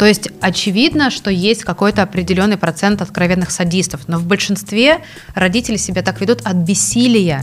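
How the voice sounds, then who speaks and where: Music plays in the background as a woman speaks at a fairly quick pace with lively intonation. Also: medium pitch for a woman. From Russia. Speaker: NGO director, legal scholar. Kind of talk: casual interview. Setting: studio with film crew.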